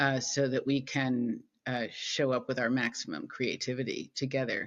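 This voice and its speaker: The intonation stays fairly even. The speaker has an American accent. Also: woman, very deep, low pitch for a woman, moderate pace. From United States. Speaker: peace builder. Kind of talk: interview.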